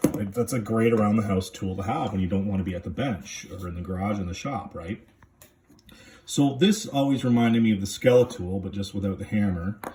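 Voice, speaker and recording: This man talks at a fairly quick clip with ordinary pitch variation and a fairly low pitch. Noticeable background noise runs under his voice. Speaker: EDC gear vlogger. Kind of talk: casual gear review vlog. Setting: handheld camera, one hand. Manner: halting, many fillers.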